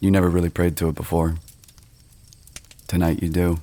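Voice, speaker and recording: A man speaks with a very deep, low pitch. His tone is calm. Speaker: ASMR creator / storyteller. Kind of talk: ASMR sleep story narration. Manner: slow, hushed, calm.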